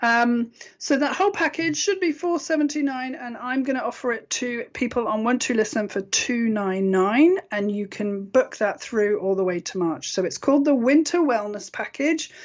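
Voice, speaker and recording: A woman with a British accent speaks in a high voice with very wide pitch swings and hardly any pauses. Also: moderate pace. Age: 50s. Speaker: internet radio host and intuitive healer. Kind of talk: sales pitch; casual radio talk show monologue.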